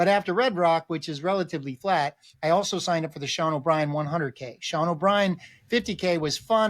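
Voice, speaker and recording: A man's high-pitched, animated voice at a fairly quick pace, with ordinary pitch variation. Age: 60s. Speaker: ultra runner. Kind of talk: casual chat.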